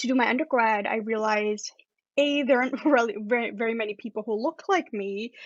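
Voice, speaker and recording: A woman's fairly high voice with a non-native accent, at a fairly quick pace. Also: ordinary pitch variation. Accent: non-Canadian accent from home country. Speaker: astrophysicist. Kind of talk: interview.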